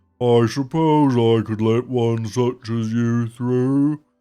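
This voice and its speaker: At a very slow pace, a man performs in a put-on character voice. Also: medium pitch for a man. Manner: thoughtful, slow.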